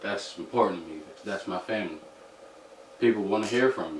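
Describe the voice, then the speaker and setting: A man at a fairly quick pace amid audible room echo and noticeable background noise. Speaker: podcast guest. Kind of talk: casual chat.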